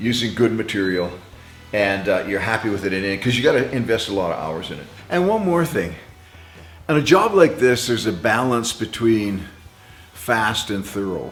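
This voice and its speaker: With audible room echo, a man at medium pitch speaks at a moderate pace with lively intonation and long, frequent pauses. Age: 70s. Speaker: car restoration hobbyist. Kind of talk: casual tutorial. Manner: casual, conversational.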